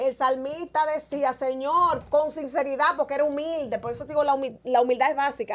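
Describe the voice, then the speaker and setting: Talking fairly quickly, a woman keeps her voice at a high pitch. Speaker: evangelist preacher. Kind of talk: interview with preaching. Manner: natural, conversational.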